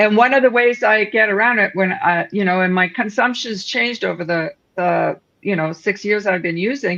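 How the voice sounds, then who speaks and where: In a Canadian accent, a woman with an ordinary speaking voice talks at a moderate pace and medium pitch with ordinary pitch variation. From Northern Ontario, Canada. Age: 60s. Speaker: cannabis product entrepreneur. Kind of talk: casual chat.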